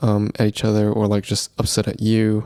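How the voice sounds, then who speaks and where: The tone is calm, relaxed, dark and mellow, on a very clean recording with a silent background. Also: man. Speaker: podcast host. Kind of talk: solo podcast monologue.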